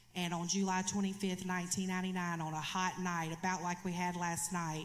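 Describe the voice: Speaking at a fairly quick pace, a woman with a fairly low pitch shows little pitch movement, and audible room echo surrounds her.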